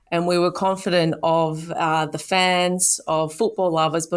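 A woman's fairly low, monotone, flat voice in an Australian accent at a moderate pace, with a very clean recording and a silent background. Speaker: sports event executive. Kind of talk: interview.

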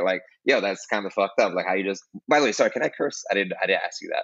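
This is a man speaking. He has a New York accent. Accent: New York City. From Brooklyn, New York. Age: 20s. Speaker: music teacher and podcast host. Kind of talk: casual interview.

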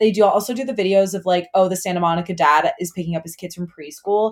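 This woman has a normal speaking voice at a medium pitch, with fairly even intonation. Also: very clean recording, silent background. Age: 20s. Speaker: TikTok creator. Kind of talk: casual chat.

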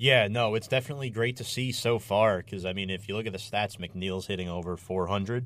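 Fairly low in pitch, a man speaks in an unremarkable speaking voice with fairly even intonation. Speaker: radio host. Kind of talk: live sports talk show. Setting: studio.

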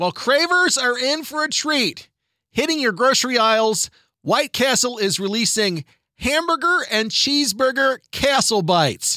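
On a very clean recording with a silent background, a man with an extremely high pitch and a bright, sharp tone speaks in a raised, projected voice at a moderate pace, animated in tone with lively intonation. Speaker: radio host. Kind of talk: radio news segment. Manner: loud.

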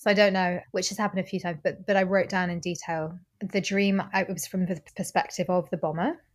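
Recorded very cleanly with a silent background, a woman speaks at a very fast pace with hardly any pauses, in a medium pitch that is somewhat breathy and monotone, flat in intonation. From Normandy, France. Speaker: musician. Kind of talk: casual chat.

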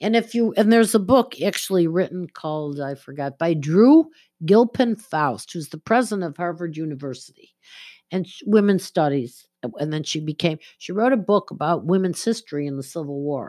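In a very clean recording with a silent background, a woman with an unremarkable speaking voice talks at a fairly quick pace, her fairly low pitch carried by lively intonation. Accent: American. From Buffalo, western New York. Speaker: spiritual medium and astrologer. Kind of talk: casual interview.

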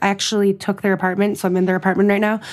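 The speaker has an American accent. The tone is animated. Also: woman. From US, Western Massachusetts. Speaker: content creator and expat in Paris. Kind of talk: casual chat. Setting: remote call from Paris.

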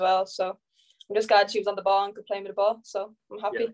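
Speaking at a very fast pace with an Irish accent, a woman uses a medium pitch, her sound dry and close with no echo. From Ireland. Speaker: professional footballer. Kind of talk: casual interview.

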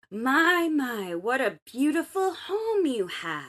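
In a put-on character voice, a female-sounding speaker talks very slowly at a high pitch, with very wide pitch swings. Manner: sweet, flattering.

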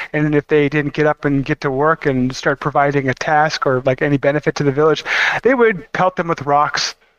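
Here is a man with an ordinary speaking voice at a fairly high pitch. He moves at a fairly quick pace, with fairly even intonation and very even loudness. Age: 30s. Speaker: podcast co-host. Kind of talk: casual chat.

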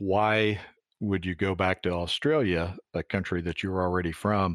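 A man with an American accent speaks at a fairly slow pace with a very deep, low pitch. His intonation is fairly even, and the recording is very clean with a silent background. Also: dry, close sound with no echo. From US Midwest, Iowa. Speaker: podcast host. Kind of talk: interview.

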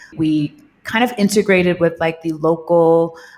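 Using a plain, everyday voice, a woman with an American accent and a fairly low pitch talks at a fairly slow pace. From Staten Island, New York. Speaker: cannabis wellness entrepreneur. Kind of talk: interview storytelling.

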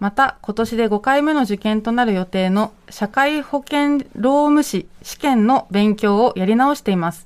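Delivered in a normal speaking voice, the speech runs at a fairly slow pace with hardly any pauses. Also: woman, fairly high pitch for a woman, ordinary pitch variation. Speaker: radio host. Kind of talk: live radio talk show. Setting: radio studio, live broadcast until 4 a.m.

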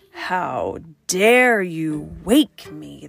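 Over faint music in the background, a woman puts on a raspy, growling character voice. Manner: snarling, indignant.

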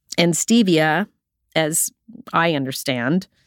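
A woman speaks at a fairly low pitch, with a dry, close sound and no echo. The recording is very clean, with a silent background. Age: 60s. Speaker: podcast host. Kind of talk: personal reflective monologue. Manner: laughs often.

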